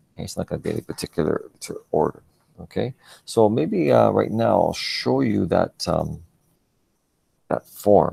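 A man talks at a moderate pace, leaving long, frequent pauses. The sound is dry with no echo, and the background is quiet. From Canada. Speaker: religion teacher. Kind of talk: lecture. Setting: video call. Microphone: video call.

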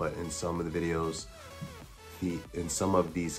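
Clear music plays in the background. Over it, a man speaks at a very deep, low pitch. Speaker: product reviewer. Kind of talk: product review talk. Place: home room. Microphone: phone near.

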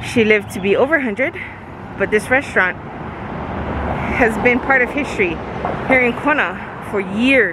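At a moderate pace, the voice comes through noticeable background noise in a dry sound with no echo. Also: woman. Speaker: family vlogger. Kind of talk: casual vlog chat. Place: street. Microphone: phone near.

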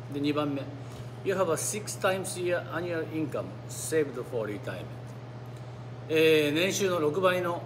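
There is noticeable background noise as a man talks with ordinary pitch variation and long, frequent pauses. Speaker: YouTube vlogger living in the US. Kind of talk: solo monologue, informal talk. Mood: calm, relaxed. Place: cafe. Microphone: phone near.

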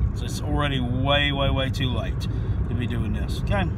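Loud background noise surrounds a dry sound with no echo, and the speech moves at a fairly quick pace. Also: man. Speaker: sports picks vlogger. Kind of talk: casual vlog chat. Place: car. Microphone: phone near.

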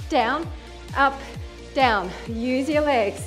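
Faint music plays in the background as a woman speaks at a very slow pace in a high pitch. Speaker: fitness instructor. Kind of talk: workout instruction cueing. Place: home room.

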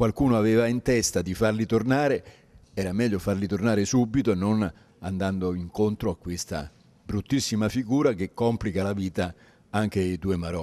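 In a dark, mellow tone, a man speaks at a fairly low pitch with ordinary pitch variation. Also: moderate pace. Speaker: politician. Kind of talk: interview answer. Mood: critical, concerned. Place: hall. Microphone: handheld.

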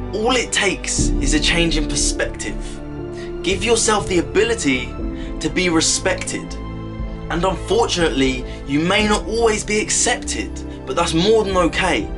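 Rather unhurried male speech with clear noise in the background. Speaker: motivational speaker. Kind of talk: motivational spoken word poem. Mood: earnest, encouraging. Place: home room. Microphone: phone near.

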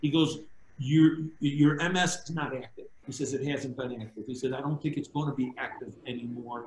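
With an American accent, a man talks at a moderate pace in a fairly high, somewhat breathy voice, with audible room echo and light background noise. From Chicago. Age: 60s. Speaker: former mob associate turned government witness. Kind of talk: interview storytelling. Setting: video call. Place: home room. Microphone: video call.

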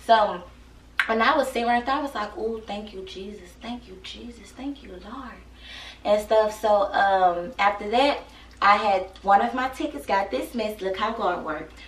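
Her fairly high voice, with ordinary pitch variation and big swings in loudness, moves at a moderate pace as the woman speaks amid audible room echo. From Texas. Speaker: YouTuber. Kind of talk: casual vlog chat. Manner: animated; laughs often. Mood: grateful, animated storytelling. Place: home room. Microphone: camera far.

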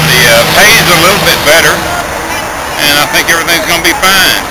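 A man talks at a moderate pace. Loud background noise surrounds him. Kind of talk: casual vlog chat. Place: station. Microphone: phone near.

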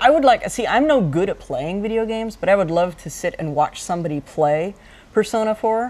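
A woman speaks at medium pitch and a fairly quick pace. Her tone is slightly mellow, with lively intonation.

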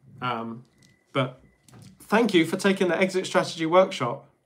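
A man speaks at a moderate pace with a fairly high pitch. His tone is fairly bright and his intonation lively.

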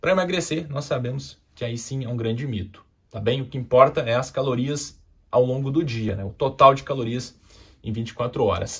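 A man speaks at a moderate pace in a somewhat breathy voice. His loudness swings widely. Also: ordinary pitch variation, quiet background. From southern Brazil, Porto Alegre. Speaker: endocrinologist. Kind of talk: health education video. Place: studio.

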